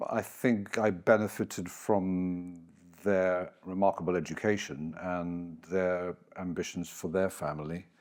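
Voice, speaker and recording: Music is playing in the background. A man with a very deep, low pitch and ordinary pitch variation talks at a very slow pace. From Gibraltar. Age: 60s. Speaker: business executive. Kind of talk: podcast interview.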